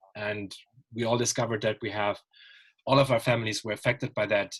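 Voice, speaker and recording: With a German accent, a man talks at a fairly quick pace and medium pitch in a somewhat breathy voice, recorded with a dry, close sound and no echo. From Germany. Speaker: writer and panel moderator. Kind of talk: online panel discussion. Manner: hesitant, many fillers.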